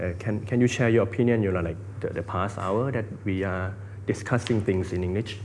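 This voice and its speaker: With a Thai accent, a man at a fairly low pitch talks at a fairly quick pace with fairly even intonation, over noticeable background noise. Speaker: interviewer. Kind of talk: interview.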